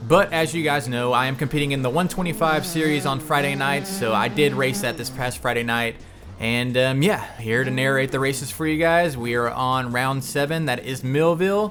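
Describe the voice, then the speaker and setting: With music in the background and audible room echo, a man speaks at a medium pitch and moderate pace with ordinary pitch variation. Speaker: gaming YouTuber. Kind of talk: gameplay commentary narration. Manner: casual, filler-heavy.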